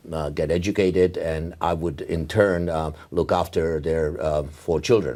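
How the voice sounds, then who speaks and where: Very deep and low in pitch, a man speaks at a fairly slow pace. His tone is dark and mellow. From Czechoslovakia. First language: Czech. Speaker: neurologist. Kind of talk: oral history interview. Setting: medical congress. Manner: halting, many fillers.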